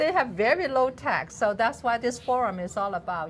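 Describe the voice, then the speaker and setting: A somewhat breathy woman with a Cantonese accent, at a moderate pace. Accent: Cantonese accent in Mandarin. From Hong Kong. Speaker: business association president. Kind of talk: talk show interview. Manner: halting.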